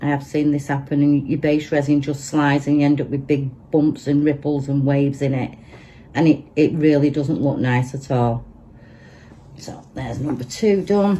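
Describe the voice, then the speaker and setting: A woman with a Manchester accent speaks at a moderate pace in a very deep, low pitch. Her tone is dark and mellow, and her intonation stays fairly even. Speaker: resin crafter. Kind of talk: tutorial. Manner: casual, chatty.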